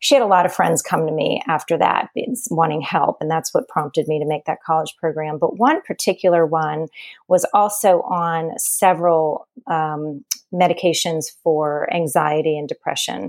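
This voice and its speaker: A normal speaking voice with an American accent, moderate pace and ordinary pitch variation, in a dry, close sound with no echo. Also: woman, fairly low pitch for a woman. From US South, New Orleans. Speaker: registered nurse and wellness coach. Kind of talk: interview. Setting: remote call.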